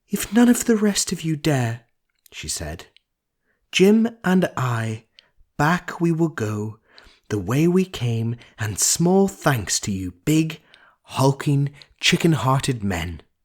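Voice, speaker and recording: Very slow, somewhat breathy speech with very wide pitch swings and long, frequent pauses. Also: man, fairly high pitch for a man. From Northern Ireland. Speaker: audiobook narrator. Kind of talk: audiobook reading.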